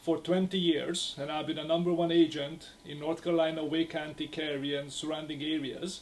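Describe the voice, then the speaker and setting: A man with a Hungarian accent and a fairly high voice talks in a flat monotone at a moderate pace, hardly pausing, over noticeable background noise. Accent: Hungarian accent (jokingly called southern). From Hungary. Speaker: real estate agent. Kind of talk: podcast interview. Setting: restaurant.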